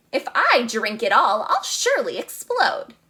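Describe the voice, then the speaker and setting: A woman's put-on character voice at an extremely high pitch, with very wide pitch swings and a moderate pace. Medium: read story. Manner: crowing, mean.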